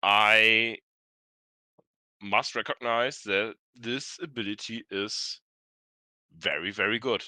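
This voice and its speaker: At a very slow pace with long, frequent pauses, a bright, sharp voice speaks with fairly even intonation in a dry, close, echo-free sound and a very clean recording with a silent background. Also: man, medium pitch for a man. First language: not English. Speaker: experienced tabletop game player. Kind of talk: live stream discussion. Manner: halting, searching for words.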